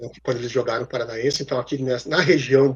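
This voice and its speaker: A man talks in a somewhat breathy voice. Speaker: sports broadcaster (American football, flag football, futsal). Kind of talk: interview answer about his career.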